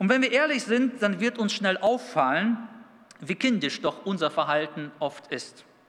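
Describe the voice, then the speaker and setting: Over noticeable background noise, a man with a high voice speaks at a fairly slow pace, his pitch swinging very widely. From Kazakhstan, then Dülmen in Münsterland from age 11. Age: 30s. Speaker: youth pastor. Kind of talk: sermon.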